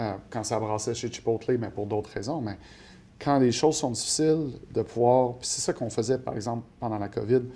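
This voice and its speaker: Ordinary pitch variation marks this man's dark, mellow-toned voice. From Quebec, Montreal north shore. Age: 40s. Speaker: portfolio manager. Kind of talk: interview. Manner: hesitant, many fillers.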